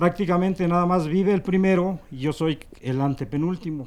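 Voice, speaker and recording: This man has a high voice with ordinary pitch variation. He speaks at a fairly slow pace. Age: 60s. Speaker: religious procession participant. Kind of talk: interview.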